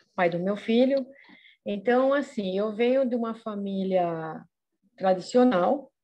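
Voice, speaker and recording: A woman is speaking. Her tone is dark and mellow. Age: 50s. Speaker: podcast panelist. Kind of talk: casual chat. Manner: halting.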